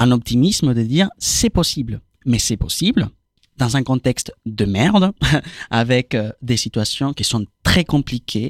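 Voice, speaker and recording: Long, frequent pauses fill a man's fairly slow, lively speech at medium pitch, recorded in dry, close sound with no echo. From Argentina. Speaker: activist. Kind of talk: casual chat. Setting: studio. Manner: halting.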